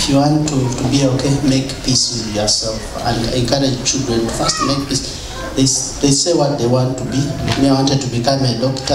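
A man talks in a flat, monotone way at a moderate pace. Noticeable background noise and audible room echo surround him. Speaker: guest. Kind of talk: personal testimony talk. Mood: warm, reflective. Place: church.

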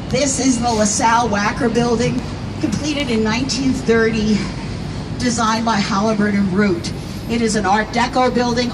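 Noticeable background noise accompanies a woman talking at a moderate pace. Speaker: architecture tour guide. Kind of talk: guided tour commentary. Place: boat.

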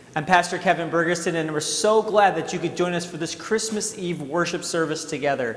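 With audible room echo, a man talks at a moderate pace in a high voice with ordinary pitch variation. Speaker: pastor. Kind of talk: service welcome address. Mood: warm, welcoming. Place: church. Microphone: lapel.

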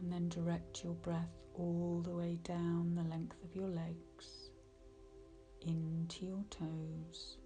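Very slow speech over music in the background. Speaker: meditation guide. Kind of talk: guided meditation.

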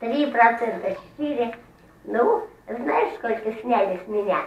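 Speaking at a very slow pace, a woman with a fairly high pitch and ordinary pitch variation is heard with audible room echo. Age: old. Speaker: pensioner. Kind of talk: street interview answer. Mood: complaining about pension cut. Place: kitchen. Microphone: camera far.

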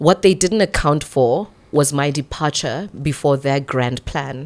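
A woman with a Botswana accent and ordinary pitch variation. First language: Setswana. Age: 40s. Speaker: radio broadcaster and MC; radio broadcaster, MC. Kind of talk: casual interview chat. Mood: earnest, reflective. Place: studio. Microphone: studio mic.

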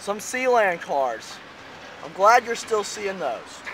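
A man with lively intonation at a moderate pace, noticeable noise in the background. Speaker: railfan. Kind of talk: casual commentary while filming trains.

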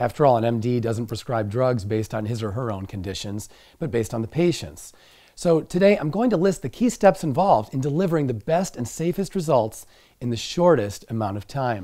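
Over a quiet background, a man with a dark, mellow tone speaks at a fairly quick pace, his pitch swinging very widely. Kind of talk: lecture. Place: studio.

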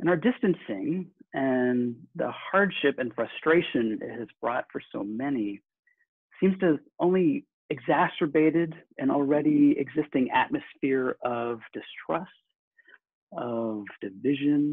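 A man speaks with long, frequent pauses. The sound is dry with no echo against a quiet background. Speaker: minister. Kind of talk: sermon. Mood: warm, earnest. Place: home room. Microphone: webcam.

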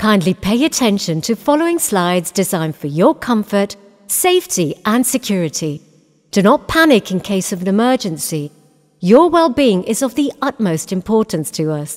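A woman speaks with a British accent at a moderate pace, her pitch medium with very wide swings. Music plays in the background, and the sound is dry and close with no echo. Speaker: voice actor. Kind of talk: cinema safety announcement.

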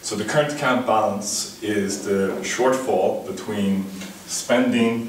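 A man speaks at a very slow pace with audible room echo. Light background noise is present. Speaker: conference presenter. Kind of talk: lecture. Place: classroom. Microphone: camera far.

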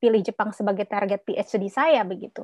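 Over a quiet background, a woman talks at a moderate pace in a dry sound with no echo. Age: 40s. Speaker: midwife and postdoctoral researcher; webinar guest. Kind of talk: webinar presentation. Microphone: video call.

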